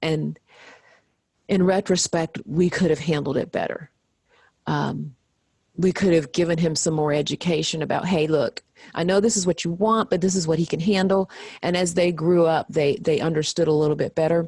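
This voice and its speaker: Recorded with a dry, close sound and no echo, a woman speaks at a moderate pace in a fairly low voice with fairly even intonation. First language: American Sign Language. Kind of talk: interview.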